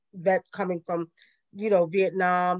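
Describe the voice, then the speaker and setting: In a Brooklyn accent, a woman speaks at medium pitch and a moderate pace. The sound is dry and close, with no echo. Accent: Brooklyn New York. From Brooklyn, New York. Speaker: spiritual elder. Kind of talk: interview.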